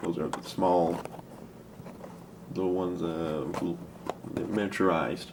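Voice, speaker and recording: With a very deep, low pitch, a soft-spoken man leaves long, frequent pauses amid audible room echo. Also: ordinary pitch variation, moderate pace. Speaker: hobbyist video maker. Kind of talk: casual tutorial. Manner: soft-spoken, talking lowly; halting, rambling with fillers.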